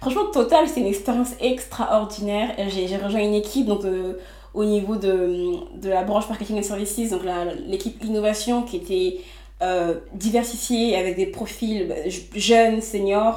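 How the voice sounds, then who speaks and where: A woman speaks fairly slowly at a fairly high pitch with ordinary pitch variation, with audible room echo and noticeable background noise. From Les Mureaux, Yvelines, France. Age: 20s. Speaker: entrepreneur. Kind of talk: interview.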